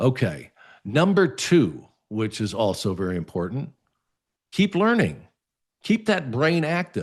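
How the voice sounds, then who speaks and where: A man with a medium-pitched voice and vocal fry speaks at a fairly slow pace. His pitch swings very widely, and he leaves long, frequent pauses. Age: 60s. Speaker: lifestyle show host. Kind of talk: advice talk to camera. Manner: casual, conversational with fillers.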